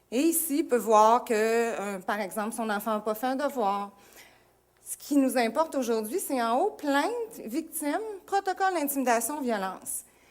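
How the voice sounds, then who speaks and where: At a moderate pace, a woman speaks with lively intonation at a high pitch. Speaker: school administrator. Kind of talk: presentation.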